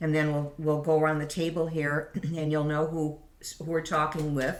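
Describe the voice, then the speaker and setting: A woman with a very deep, low pitch, amid noticeable background noise and audible room echo. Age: old. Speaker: podcast host and piano teacher. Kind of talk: casual chat. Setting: around a kitchen table.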